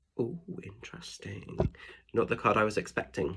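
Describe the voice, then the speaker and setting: A man with an English accent, somewhat breathy and medium-pitched, at a moderate pace on a very clean recording with a silent background. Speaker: spiritual medium and tarot reader. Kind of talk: tarot guidance reading. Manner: chatty, informal.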